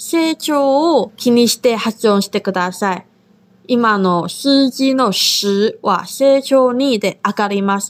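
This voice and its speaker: A woman speaks at a high pitch. Her pace is very slow. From Taiwan. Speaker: language teacher, podcast co-host. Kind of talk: language lesson.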